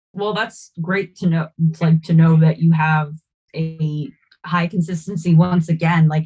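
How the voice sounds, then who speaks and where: A woman speaks at a moderate pace in a fairly low, somewhat breathy voice. Her intonation is monotone and flat. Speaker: podcast host. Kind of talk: podcast interview. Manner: halting.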